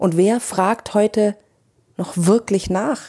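Here a woman is speaking. Her tone is dark and mellow. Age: 40s. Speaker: podcast host and coach. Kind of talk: personal monologue.

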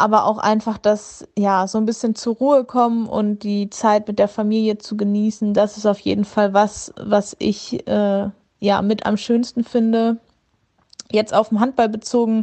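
A woman's fairly high voice in a flat monotone, at a fairly slow pace. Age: 20s. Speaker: handball player. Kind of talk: short video greeting.

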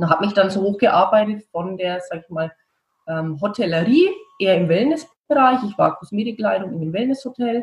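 Speaking in a Franconian accent, a woman uses lively intonation at a moderate pace, her medium-pitched voice somewhat breathy. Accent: Franconian rolled R. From Franconia, Germany. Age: 40s. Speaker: beautician and skincare founder. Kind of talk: interview.

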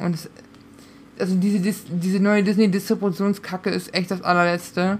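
A woman talks fairly quickly in a flat, monotone delivery. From Münsterland, Germany. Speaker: podcast co-host. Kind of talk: casual chat.

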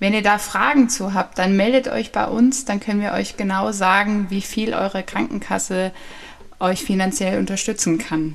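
With an unremarkable speaking voice, a woman speaks at a moderate pace in a medium pitch with ordinary pitch variation. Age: 20s. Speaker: podcast host, health education trainee. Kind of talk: informational podcast monologue.

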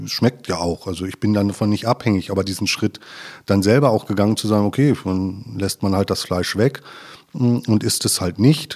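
A man at a fairly low pitch, moderate pace and ordinary pitch variation, in a very clean recording with a silent background. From Ruhr area, Germany (Westphalia/Sauerland border). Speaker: environmental engineer at a utility company. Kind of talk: casual interview. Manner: hesitant, many filler sounds.

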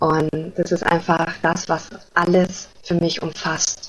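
A woman's fairly low voice at a very slow pace. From Germany. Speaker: spiritual coach. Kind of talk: podcast interview. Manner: hesitant, many fillers.

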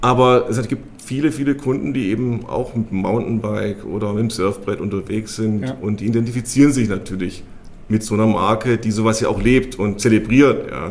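The voice is medium-pitched for a man and stays at a moderate pace, with ordinary pitch variation. It is an unremarkable speaking voice. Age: 50s. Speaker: company executive. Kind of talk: interview. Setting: company headquarters.

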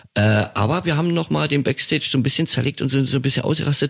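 Slightly breathy, a man speaks at a very fast pace with lively intonation. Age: 50s. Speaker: rock musician and podcast co-host. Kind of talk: casual chat. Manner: hesitant, many fillers.

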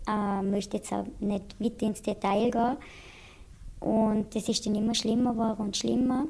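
Somewhat breathy and dark, mellow in tone, a woman with a fairly high pitch speaks at a moderate pace with monotone, flat intonation. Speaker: patient in addiction treatment. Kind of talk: interview testimony. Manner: hesitant, many filler sounds; plain colloquial speech.

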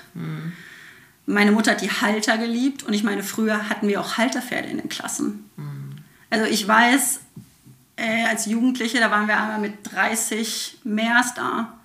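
A woman speaks at a moderate pace in a fairly high voice. Her intonation stays fairly even, and background noise is noticeable. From Germany, Sauerland. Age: 30s. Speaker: horse trainer. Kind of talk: casual chat. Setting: in her home.

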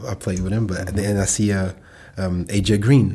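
Fairly quick and somewhat breathy, a man with a French accent speaks in a dark, mellow tone at a fairly low pitch with ordinary pitch variation. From France. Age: 30s. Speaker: professional football player. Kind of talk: casual chat.

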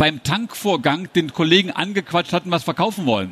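This man's voice sits high, with ordinary pitch variation. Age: 50s. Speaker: sales trainer and trade fair speaker. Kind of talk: conference talk. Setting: stage at a trade fair hall.

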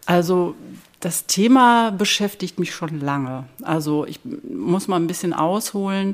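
Very slowly, a woman at a medium pitch talks with very wide pitch swings on a very clean recording with a silent background. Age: 50s. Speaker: hospice volunteer and physiotherapist. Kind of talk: interview. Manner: hesitant, many fillers.

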